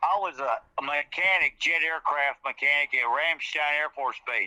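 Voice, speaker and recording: With a Louisiana accent, a man speaks at a moderate pace in a fairly high pitch, his tone bright and sharp and the sound dry and close with no echo. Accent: Louisiana Southern US. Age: 60s. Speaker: eyewitness, military veteran. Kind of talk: interview, personal account.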